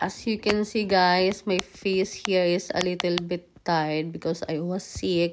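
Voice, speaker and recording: Speaking at a fairly slow pace with hardly any pauses, a woman of medium pitch keeps a flat, monotone intonation. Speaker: vlogger. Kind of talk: casual vlog chat. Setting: at home.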